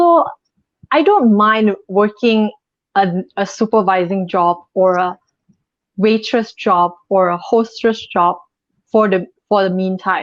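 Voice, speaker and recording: A woman at a medium pitch, very slow pace, ordinary pitch variation and long, frequent pauses. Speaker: model. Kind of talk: live interview.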